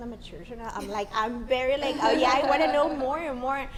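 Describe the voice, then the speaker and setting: A woman with a strong Mexican accent, ordinary pitch variation, audible room echo and noticeable background noise. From northern Mexico, Monterrey. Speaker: marketer and construction sales professional. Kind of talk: casual interview chat. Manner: animated, halting with repetitions.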